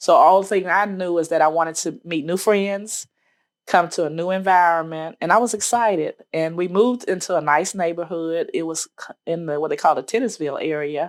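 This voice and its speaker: A woman with an American accent and a plain, everyday voice, fairly low in pitch and fairly quick, with ordinary pitch variation, on a very clean recording with a silent background. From Virginia and Birmingham, Alabama (US South). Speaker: oral history interviewee, civil rights witness. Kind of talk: oral history interview. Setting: interview at a museum archive.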